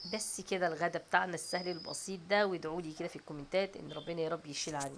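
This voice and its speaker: Speaking at a very fast pace with an Egyptian accent, a woman keeps a fairly low pitch and fairly even intonation while her loudness swings widely. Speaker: home cooking vlogger. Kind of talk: cooking tutorial. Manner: casual, chatty.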